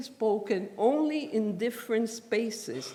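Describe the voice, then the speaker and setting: A dark, mellow tone in a Spanish accent, fairly slow, with very wide pitch swings and audible room echo. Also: woman. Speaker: professor. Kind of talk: lecture.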